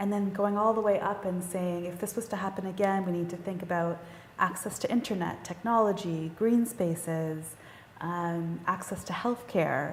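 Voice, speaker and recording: Over noticeable background noise and audible room echo, a woman talks with fairly even intonation. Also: medium pitch for a woman. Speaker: panel moderator. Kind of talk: panel discussion. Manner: fast.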